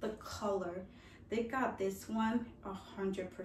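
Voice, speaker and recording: Light background noise can be heard. The room has an audible echo. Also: woman. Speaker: fashion and lifestyle vlogger; lifestyle vlogger. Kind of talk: casual product try-on review. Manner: animated, chatty. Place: home room. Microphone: camera far.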